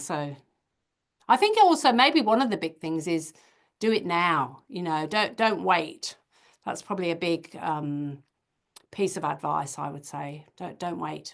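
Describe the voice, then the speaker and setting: A woman with an Australian accent speaks with vocal fry and big swings in loudness. She leaves long, frequent pauses. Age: 60s. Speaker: creative business founder and self-published author. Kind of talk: podcast interview. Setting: video call.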